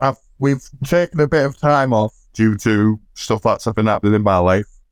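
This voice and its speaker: A man's normal speaking voice at a moderate pace, with ordinary pitch variation and very even loudness, in a dry, close sound with no echo. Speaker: wrestling fan. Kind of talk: casual chat.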